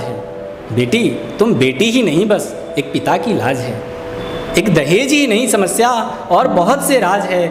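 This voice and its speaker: A man with a high pitch swings very widely in pitch over noticeable background noise. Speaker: poet. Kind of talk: spoken word poetry performance with commentary.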